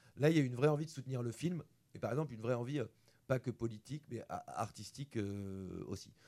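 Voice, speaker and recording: Here a man has a dark, mellow tone at a medium pitch. He talks at a fairly quick pace with ordinary pitch variation. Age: 40s. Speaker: film director. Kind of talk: interview. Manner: halting, repeats words.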